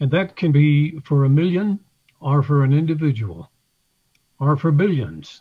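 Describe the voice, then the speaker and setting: A man's fairly high, somewhat breathy voice with a dark, mellow tone at a fairly slow pace. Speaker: church member. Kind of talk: testimony.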